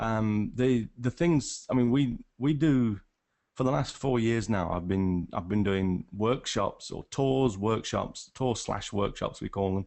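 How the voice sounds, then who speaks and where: Speaking at a very slow pace, a man talks with a northern English accent. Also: medium pitch for a man, ordinary pitch variation. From England, Nottingham. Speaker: wildlife photographer. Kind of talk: casual chat. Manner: halting, many restarts.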